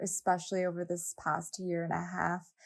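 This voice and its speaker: The speaker is a woman with a West Coast US accent. She talks at a fairly slow pace. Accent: General American, West Coast. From Southern California, Los Angeles. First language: Japanese. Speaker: fashion brand founder and nonprofit co-founder. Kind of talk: podcast interview.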